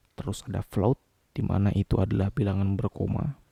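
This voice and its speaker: A man talks at a fairly quick pace with vocal fry. His tone is dark and mellow, and his pitch fairly low. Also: dry, close sound with no echo. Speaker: programming tutor. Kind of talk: coding tutorial narration.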